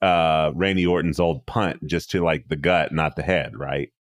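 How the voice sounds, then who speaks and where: A man speaks with a very deep, low pitch and vocal fry, in a dry, close sound with no echo and a very clean recording over a silent background. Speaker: podcast host. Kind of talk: casual chat about wrestling.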